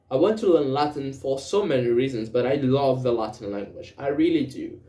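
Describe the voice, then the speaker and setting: Audible room echo surrounds a man talking at a fairly quick pace. His voice sits at medium pitch with ordinary pitch variation. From Brazil. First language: Portuguese. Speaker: language learner vlogger. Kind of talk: casual monologue speaking practice. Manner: halting, with self-corrections and fillers.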